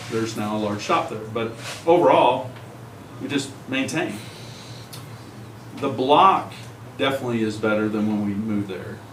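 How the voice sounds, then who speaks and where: Amid audible room echo and noticeable background noise, a man at medium pitch speaks at a moderate pace with ordinary pitch variation and long, frequent pauses. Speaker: resident speaking at public meeting. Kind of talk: public comment. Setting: county commission meeting room. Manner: projecting loudly.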